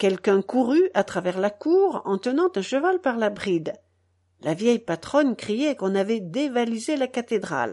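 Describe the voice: The intonation is lively in this plain reading aloud. Nothing disturbs the quiet background.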